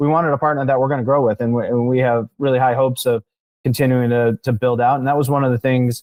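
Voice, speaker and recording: A man speaks at a very fast pace in a medium pitch. His intonation is monotone and flat, his loudness very even. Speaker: marketing agency founder, podcast guest. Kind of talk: interview.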